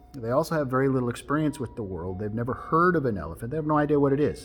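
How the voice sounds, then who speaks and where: Music plays in the background. Over it, a man with a fairly high pitch talks with lively intonation. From Alaska, Tsimshian. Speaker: storyteller and life coach. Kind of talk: storytelling to camera, wisdom talk.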